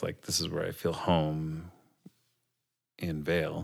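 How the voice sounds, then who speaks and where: A man speaks with an Upper Midwest accent at a very deep, low pitch. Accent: Upper Midwest American. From Minnesota, Minneapolis area. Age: 40s. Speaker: teacher. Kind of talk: casual chat.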